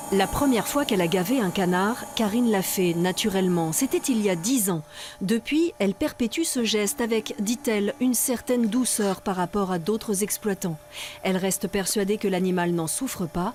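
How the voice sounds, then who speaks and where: A woman speaks at a moderate pace with medium pitch, lively intonation and very even loudness, over noticeable background noise. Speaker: TV news reporter. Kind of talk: TV news narration.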